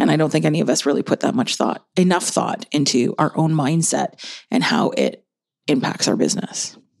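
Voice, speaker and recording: A woman with a very deep, low pitch and vocal fry talks at a fairly quick pace, her loudness very even and her pitch swinging very widely. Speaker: podcast host. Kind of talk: casual chat. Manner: tired, joking.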